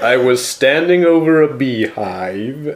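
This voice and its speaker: A man's put-on character voice at medium pitch, delivered at a fairly slow pace. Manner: heroic, dramatic.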